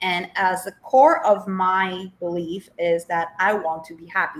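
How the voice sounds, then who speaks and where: Talking in a Polish accent with hardly any pauses, a woman uses a medium pitch and ordinary pitch variation while her loudness rises and falls sharply. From Poland. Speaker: life coach. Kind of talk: interview. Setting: TV show.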